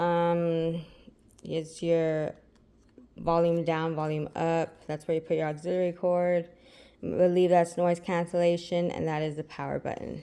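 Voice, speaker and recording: A woman's dark, mellow, fairly low voice, monotone and flat in intonation, at a fairly slow pace. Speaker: product reviewer. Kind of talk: unboxing review tutorial. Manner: hesitant, many fillers; loud while wearing headphones.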